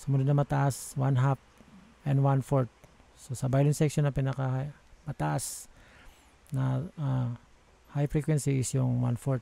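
A man speaks at a fairly slow pace in a flat monotone, his dark, mellow tone somewhat breathy, with long, frequent pauses and a dry sound that has no echo. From Philippines. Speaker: audio software tutorial maker; audio software instructor. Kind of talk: tutorial. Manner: halting.

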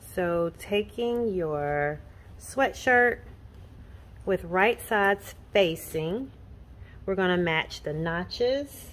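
The delivery is very slow, broken by long, frequent pauses. Its intonation is lively. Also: woman, medium pitch for a woman. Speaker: sewing pattern designer. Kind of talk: tutorial. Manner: casual.

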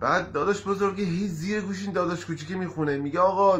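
Somewhat breathy, a man speaks at a moderate pace. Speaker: amateur comedian. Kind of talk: joke telling to camera. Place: home room. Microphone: phone near.

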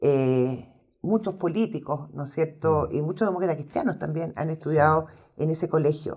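A woman speaks at a moderate pace in a Chilean accent. The background is quiet. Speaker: historian and interview host; interview host. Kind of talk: interview. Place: studio.

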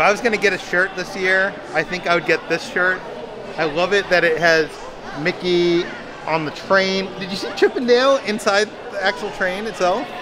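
Background noise stands out noticeably. The talking proceeds at a moderate pace. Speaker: vlogger filming merchandise. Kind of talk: casual vlog chat. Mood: delighted, enthusiastic. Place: shop. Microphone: phone near.

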